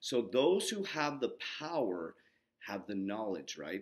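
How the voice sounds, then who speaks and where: A man speaks at a medium pitch. His voice moves through very wide pitch swings. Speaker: health and mindset coach. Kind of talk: casual vlog explainer. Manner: fast.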